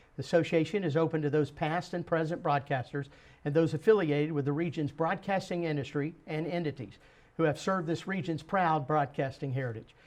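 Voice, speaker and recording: A man with an ordinary speaking voice talks at a fairly quick pace. His pitch is fairly high, with ordinary variation. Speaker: interview host. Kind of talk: program introduction.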